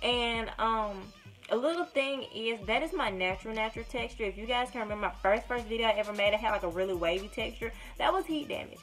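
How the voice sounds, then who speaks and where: With a strong Alabama accent, a woman talks at a very fast pace while music plays in the background. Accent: Deep South Alabama accent, strong. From US South, small-town Alabama. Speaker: YouTuber, hair vlogger. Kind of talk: casual vlog. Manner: words run together; rambling, hesitant.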